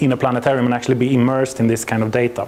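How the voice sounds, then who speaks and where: Noticeable background noise sits behind a voice with a Swedish accent. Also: man. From Sweden. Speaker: planetarium software company representative, astrophysicist. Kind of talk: presentation to an audience. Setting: venue with audience.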